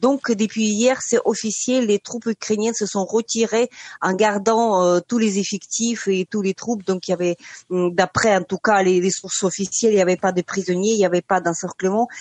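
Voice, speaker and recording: A woman with a normal speaking voice and medium pitch talks at a moderate pace, her intonation fairly even. The sound is dry and close with no echo, over a quiet background. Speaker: journalist. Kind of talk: radio interview.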